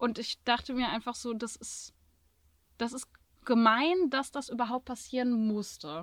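A woman speaks at a fairly slow pace in a high pitch, with long, frequent pauses and big swings in loudness. The recording is very clean, with a silent background. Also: ordinary pitch variation. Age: 20s. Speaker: social work student, van traveler. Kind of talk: casual chat. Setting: inside her van in Andalusia.

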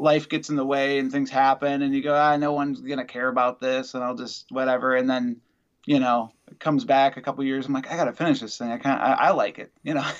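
Against a quiet background, a man speaks at a fairly quick pace. His pitch is medium, and he has an Upper Midwest accent. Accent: Upper Midwest American. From Wisconsin. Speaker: musician. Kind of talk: interview. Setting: video call.

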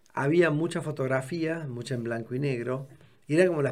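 Fairly quick pace and ordinary pitch variation in an unremarkable speaking voice. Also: man. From Córdoba, Argentina. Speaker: architect and art collector. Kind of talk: casual chat.

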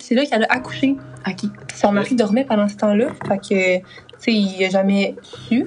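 A woman with a Quebec accent speaks at a medium pitch and a fairly quick pace, leaving long, frequent pauses, with noticeable background noise behind her. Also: ordinary pitch variation, very even loudness. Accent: Québécois French. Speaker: podcast co-host. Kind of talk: casual storytelling podcast.

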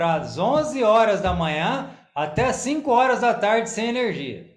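With audible room echo, a man speaks at a very slow pace in a high-pitched voice. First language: Portuguese (speaking Korean). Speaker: church member, bakery owner. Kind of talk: testimony.

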